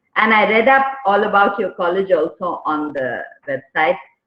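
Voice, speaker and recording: A woman speaks with a Tamil accent. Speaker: motivational speaker and corporate trainer. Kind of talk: workshop talk.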